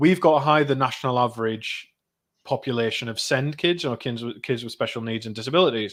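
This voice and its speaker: In a North East England accent, a man with a medium pitch talks at a fairly quick pace in a very clean recording with a silent background. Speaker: parliamentary candidate. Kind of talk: interview.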